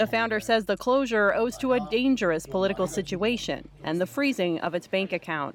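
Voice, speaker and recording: Using a normal speaking voice, a woman talks at a medium pitch and a fairly quick pace with lively intonation. She barely pauses, and her loudness stays very even. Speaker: news reporter. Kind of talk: news report.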